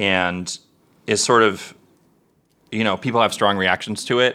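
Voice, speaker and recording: Lively intonation and a bright, sharp tone mark this man's fairly low voice. He speaks at a moderate pace on a very clean recording with a silent background. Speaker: podcast co-host. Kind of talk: casual chat.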